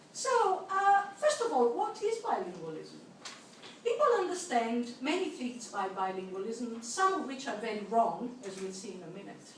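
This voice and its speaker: A woman speaks with an Italian accent at a moderate pace, her pitch high and swinging very widely. Her loudness rises and falls sharply. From Italy. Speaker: linguistics professor. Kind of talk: keynote lecture. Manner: hesitant with frequent fillers.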